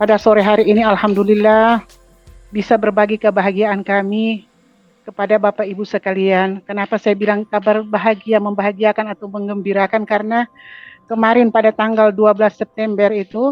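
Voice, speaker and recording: At a fairly quick pace, a woman with a fairly high pitch speaks in a monotone, flat intonation. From Gorontalo, Indonesia. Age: 60s. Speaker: cancer survivor sharing testimony. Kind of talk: testimony.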